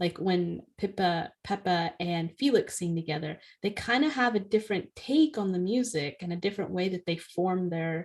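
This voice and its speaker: A woman with a plain, everyday voice speaks at a medium pitch and a moderate pace, with lively intonation and hardly any pauses, over a quiet background. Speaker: podcast co-host, author. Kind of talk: casual chat. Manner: fluent, lightly filled with ums.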